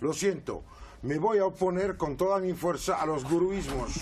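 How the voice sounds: This man has a fairly high pitch and a slightly mellow tone. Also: ordinary pitch variation, moderate pace.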